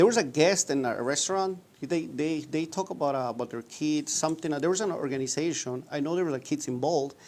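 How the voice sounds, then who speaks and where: A man with a Mexican accent talks very fast with hardly any pauses, at a fairly high pitch with ordinary pitch variation, on a very clean recording with a silent background. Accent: Mexican accent in English, people laugh at it. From rural Mexico, Purépecha-speaking town. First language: Purépecha. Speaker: restaurant owner. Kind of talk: interview. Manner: halting.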